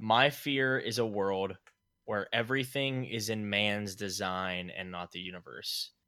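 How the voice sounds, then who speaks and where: Someone with an American accent speaks at a fairly slow pace in a bright, sharp tone with ordinary pitch variation. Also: man, fairly low pitch for a man. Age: 20s. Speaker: podcast co-host. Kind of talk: casual chat.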